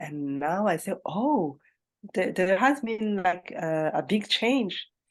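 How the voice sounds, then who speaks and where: In a Malagasy accent, a woman speaks very slowly with very wide pitch swings, over a quiet background. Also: medium pitch for a woman. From Madagascar. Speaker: English learner. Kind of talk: casual chat. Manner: hesitant, many fillers.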